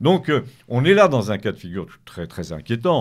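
The background is silent in this very clean recording. The speaker's pitch swings very widely. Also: man. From Paris, France. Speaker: writer. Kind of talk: radio interview.

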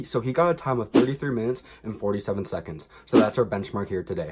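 With music playing behind him, a man talks at a fairly quick pace. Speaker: fitness vlogger. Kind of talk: casual vlog chat. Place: home room. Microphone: phone near.

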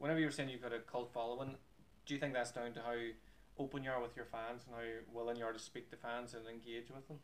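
A man at a very fast pace in a monotone, flat intonation. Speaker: motivational speaker. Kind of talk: interviewer questions. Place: cafe. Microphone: camera far.

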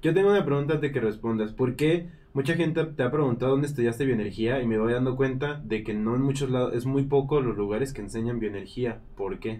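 In a plain, everyday voice, a man at medium pitch talks at a fairly quick pace with ordinary pitch variation and hardly any pauses. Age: 30s. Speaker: live stream co-host and moderator; live stream co-host, moderator. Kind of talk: casual live stream chat. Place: studio.

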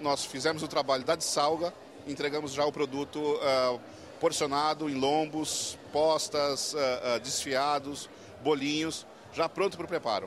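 A man at a moderate pace with monotone, flat intonation, a dry sound with no echo and light background noise. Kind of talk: interview answer. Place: hall. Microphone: handheld.

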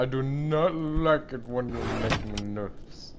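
Over clear background noise, a man does a put-on character voice at medium pitch and a fairly slow pace. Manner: nervous, pompous.

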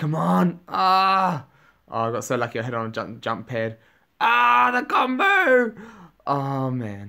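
In a quiet background, a man talks at a very slow pace. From New Zealand. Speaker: gaming YouTuber. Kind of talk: gameplay commentary. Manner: animated. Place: home room.

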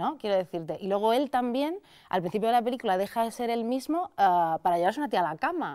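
A woman talks at a very fast pace, her fairly high pitch making very wide swings. Her tone is dark and mellow, and the background is quiet. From Madrid, Spain; Spain. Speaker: critic and video creator; video creator. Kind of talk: interview. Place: studio.

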